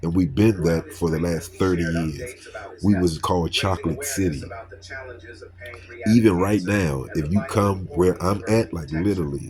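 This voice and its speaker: Someone with an American accent speaks at a fairly slow pace. Noticeable background noise runs underneath. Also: man, very deep, low pitch for a man, ordinary pitch variation. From Washington, D.C. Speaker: YouTuber. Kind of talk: response video rant. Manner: animated.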